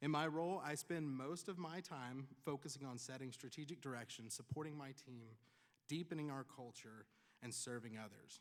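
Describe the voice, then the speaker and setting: With a Tennessee accent, a man speaks at a moderate pace in a fairly high voice. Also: ordinary pitch variation. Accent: Tennessee Southern. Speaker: commencement speaker, pharmacist and nonprofit leader. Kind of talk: commencement speech. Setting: graduation ceremony with audience.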